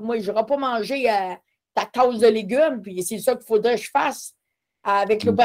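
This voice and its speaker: Pitch varies in an ordinary way as an ordinary speaking voice moves at a moderate pace. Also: woman. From Quebec, Matapédia Valley. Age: 50s. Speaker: person living with multiple sclerosis. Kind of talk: casual interview.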